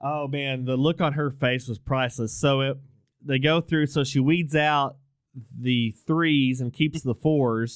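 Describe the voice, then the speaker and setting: A man with an American accent talks in an ordinary speaking voice, fairly high in pitch, with fairly even intonation and a fairly slow pace. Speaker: podcast host. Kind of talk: casual chat.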